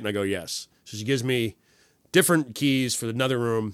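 A man talks at a medium pitch. His intonation is lively. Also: very clean recording, silent background. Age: 30s. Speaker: comedian. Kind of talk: casual chat.

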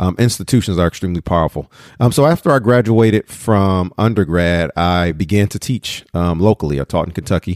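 With an American accent and a very deep, low pitch, a man talks at a fairly quick pace with ordinary pitch variation, in a dry, close sound with no echo on a very clean recording with a silent background. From Detroit, Michigan. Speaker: professor and podcast host. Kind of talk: solo podcast monologue. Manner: animated.

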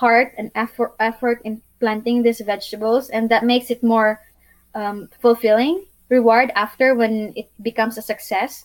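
A woman with a Filipino accent, fairly high in pitch, at a fairly slow pace. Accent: Filipino English, moderate. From Philippines, Bohol island. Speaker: YouTuber and sustainable living advocate. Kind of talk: casual interview, storytelling. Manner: warm, earnest, sometimes halting.

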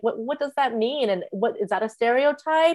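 A woman with an American accent has an ordinary speaking voice at a fairly high pitch. She talks at a fairly quick pace with ordinary pitch variation. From United States, raised from childhood after birth in China. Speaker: psychotherapist. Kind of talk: interview conversation.

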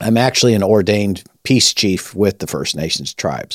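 At a moderate pace, a man talks in an ordinary speaking voice, fairly low in pitch with ordinary pitch variation, in a very clean recording with a silent background. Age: 60s. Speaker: rabbi and ministry leader. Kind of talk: conversational teaching.

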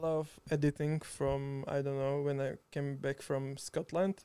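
Speaking with a Slovak accent, a man with a fairly high pitch and a dark, mellow tone talks at a fairly slow pace in monotone, flat intonation, with a dry, close sound and no echo. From Slovakia, Žiar nad Hronom. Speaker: video editor. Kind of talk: casual chat. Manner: halting.

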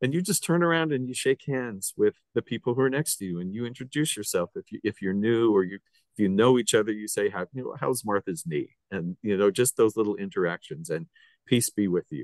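A man with an American accent has a medium pitch and lively intonation in an ordinary speaking voice. The sound is dry and close with no echo. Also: fairly quick pace. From Utah. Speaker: radio podcast host. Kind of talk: interview conversation.

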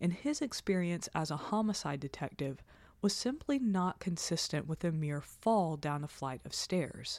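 A woman speaks at a moderate pace in an unremarkable speaking voice, fairly low in pitch, with lively intonation. The recording is very clean, with a silent background. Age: 30s. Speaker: true crime podcast co-host. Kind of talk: scripted narration with casual chat.

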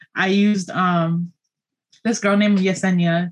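A woman speaks with an American accent. Her voice is somewhat breathy. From New York City. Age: 20s. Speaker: small business owner and teacher. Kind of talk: casual chat. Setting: video call.

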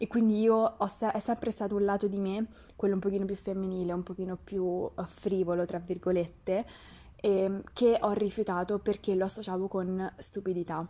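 A woman's dark, mellow tone in a monotone, flat delivery. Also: medium pitch for a woman. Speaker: podcast host, nutrition student. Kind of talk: casual chat. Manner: fast.

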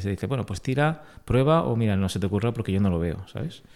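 The voice belongs to a man and sits fairly low in pitch. It has a dark, mellow tone. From Vega Baja, Alicante, Spain. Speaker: entrepreneur, engineer. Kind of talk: interview.

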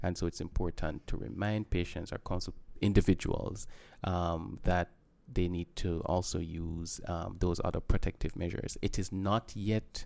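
A man with a very deep, low pitch, fairly even intonation and a moderate pace, in a very clean recording with a silent background. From Jamaica. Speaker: medical doctor. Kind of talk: interview.

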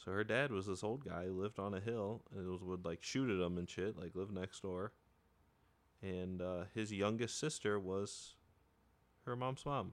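Recorded very cleanly against a silent background, a man with an unremarkable speaking voice talks at a moderate pace and fairly low pitch with ordinary pitch variation. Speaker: podcast co-host. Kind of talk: casual comedic banter. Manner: bantering, teasing.

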